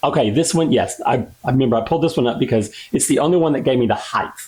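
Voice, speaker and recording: A man speaks in a plain, everyday voice with a fairly high pitch. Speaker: aquascaping youtuber. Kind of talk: unboxing tutorial. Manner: casual, thinking aloud.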